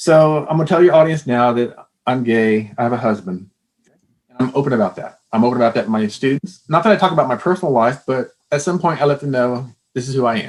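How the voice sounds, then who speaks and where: A man at medium pitch, very fast, with lively intonation. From Texas. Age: 60s. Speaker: former psychology professor. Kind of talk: interview.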